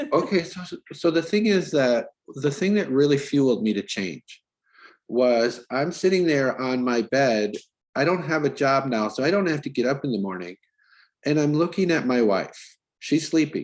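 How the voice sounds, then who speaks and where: Speaking with an American accent, a man uses lively intonation at a fairly high pitch. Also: moderate pace. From US Midwest, northern Wisconsin. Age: 50s. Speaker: pharmacist, podcast guest. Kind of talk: interview, personal story.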